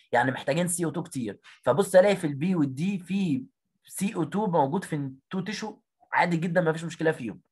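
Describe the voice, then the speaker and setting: A man talks very fast at a high pitch. His pitch variation is ordinary. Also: quiet background. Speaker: biology teacher. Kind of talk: online exam revision lesson. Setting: video call. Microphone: audio cutting out.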